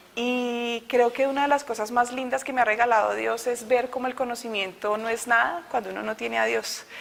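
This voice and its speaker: A woman with a Bogotá accent, high-pitched, at a moderate pace. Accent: Bogotá accent, still kept. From Colombia, Bogotá. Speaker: innovation consultant giving a faith testimony. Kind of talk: testimony.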